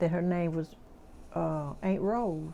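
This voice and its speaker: A woman speaks in a Mississippi accent with a fairly low, dark, mellow voice. Her pitch varies an ordinary amount. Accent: Mississippi Southern US. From US South. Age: 80s+. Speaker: oral history interviewee. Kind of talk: oral history interview. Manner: halting.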